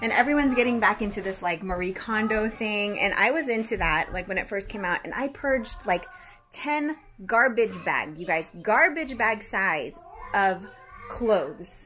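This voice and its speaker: Moderate pace with faint music in the background. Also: woman. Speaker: mother vlogger. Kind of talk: casual vlog chat. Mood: playful, mildly embarrassed. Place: home room. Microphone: phone near.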